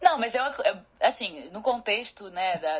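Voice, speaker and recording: A woman's lively intonation at a moderate pace, amid noticeable background noise. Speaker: photographer and master's student. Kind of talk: casual chat.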